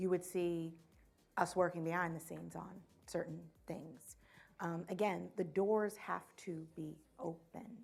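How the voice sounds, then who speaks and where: A woman speaks with fairly even intonation and long, frequent pauses. Music plays in the background. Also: fairly low pitch for a woman, fairly slow pace. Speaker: finance executive. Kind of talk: fireside chat.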